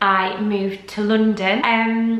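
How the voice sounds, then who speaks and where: With a Yorkshire accent, a woman speaks at a very slow pace amid noticeable background noise. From Yorkshire, northern England. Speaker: lifestyle vlogger and former model. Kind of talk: casual vlog Q&A. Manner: chatty, with frequent ums.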